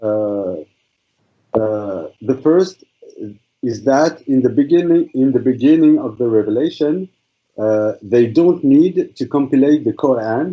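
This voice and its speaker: Speaking at a fairly slow pace with a French accent, a man uses lively intonation at a medium pitch. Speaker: student in an imam training course. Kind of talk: class presentation in online seminar. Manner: halting, many fillers and repetitions.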